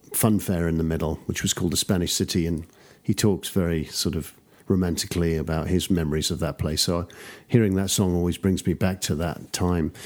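On a very clean recording with a silent background, a man with a London accent speaks at a fairly quick pace in a very deep, low voice. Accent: traditional English, London area. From suburbs of London, England. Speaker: music producer and engineer. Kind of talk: casual interview.

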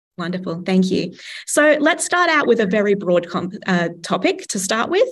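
With an Australian accent, a woman talks at a fairly quick pace and medium pitch. Her voice is somewhat breathy and swings very widely in pitch. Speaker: podcast host. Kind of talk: interview conversation.

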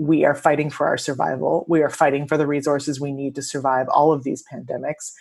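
Her voice is very deep and low, and she is a woman speaking at a very fast pace. The intonation is monotone and flat. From immigrant to the US. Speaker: attorney and researcher. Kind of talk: podcast interview.

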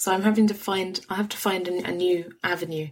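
A somewhat breathy woman's voice in a London accent. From London, England. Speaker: podcaster and writer. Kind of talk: casual interview.

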